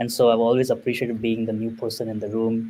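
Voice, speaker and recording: Delivered at a fairly quick pace, the dark, mellow tone comes with a Marathi accent. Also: man. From India and Middle East. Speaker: product manager. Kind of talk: casual interview.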